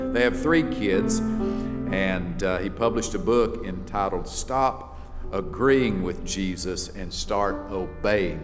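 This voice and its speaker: Someone speaks at a very slow pace over loud music in the background. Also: man. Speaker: chapel host introducing the preacher. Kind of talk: announcements and introduction. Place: church. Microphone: podium.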